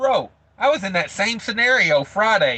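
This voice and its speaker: A man's bright, sharp voice, dry and close with no echo, against a quiet background. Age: 30s. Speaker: truck driver livestreamer. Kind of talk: livestream chat reading. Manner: casual, filler-heavy.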